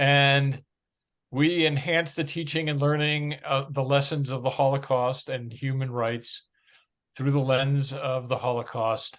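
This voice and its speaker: A man talks in a plain, everyday voice with an American accent, at a medium pitch and a fairly slow pace. His intonation is fairly even, and the background is quiet. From United States. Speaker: nonprofit chairman. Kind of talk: talk at an online meeting.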